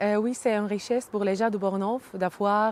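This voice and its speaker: A woman speaks with a slight Arabic accent on a very clean recording with a silent background. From Syria, Hama region. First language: Arabic (speaking French). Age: 30s. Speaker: immigrant, early childhood educator. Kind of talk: interview testimony. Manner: halting, many hesitations.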